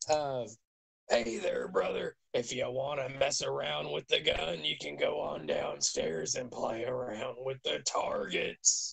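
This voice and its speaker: A man uses a raspy, put-on character voice at a fairly slow pace. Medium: actual play. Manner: folksy, salesy, chummy.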